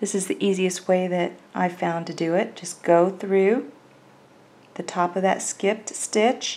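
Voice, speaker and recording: At a fairly slow pace, a woman with a Southern US accent speaks in a calm tone at a medium pitch, her intonation fairly even. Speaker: crochet instructor. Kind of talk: tutorial. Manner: calm, step-by-step instructional.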